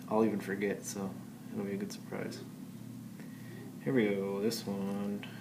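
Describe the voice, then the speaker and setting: Mumbling at a moderate pace, a man with a fairly low pitch and fairly even intonation leaves long, frequent pauses amid audible room echo. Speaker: math teacher. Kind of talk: tutorial.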